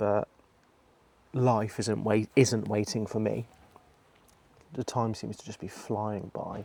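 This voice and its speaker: Speech comes at a very slow pace with long, frequent pauses, a dark, mellow tone with vocal fry, and monotone, flat intonation. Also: man, fairly low pitch for a man. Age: 40s. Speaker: vlogger. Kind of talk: personal vlog monologue. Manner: hesitant, with many fillers.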